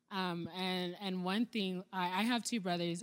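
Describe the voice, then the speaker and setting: Here is an unremarkable speaking voice with ordinary pitch variation. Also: woman. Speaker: biology student. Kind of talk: casual discussion.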